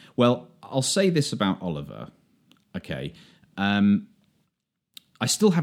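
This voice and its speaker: With vocal fry and a fairly low pitch, a man speaks at a fairly slow pace, his voice showing very wide pitch swings, big swings in loudness and long, frequent pauses. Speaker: podcast host.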